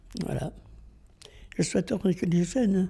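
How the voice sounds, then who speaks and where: A woman's very slow, fairly low voice with vocal fry and a dark, mellow tone. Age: 80s+. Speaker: elderly local resident. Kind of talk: interview reminiscence.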